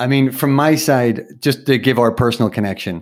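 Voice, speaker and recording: Using fairly even intonation, a man talks at a moderate pace and medium pitch in an ordinary speaking voice. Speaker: podcast host. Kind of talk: interview.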